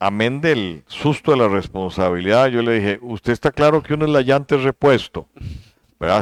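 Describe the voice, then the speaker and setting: In a dry, close sound with no echo, a man talks in a normal speaking voice at a fairly quick pace. His pitch is medium with ordinary pitch variation. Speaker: vice-presidential candidate. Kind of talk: interview.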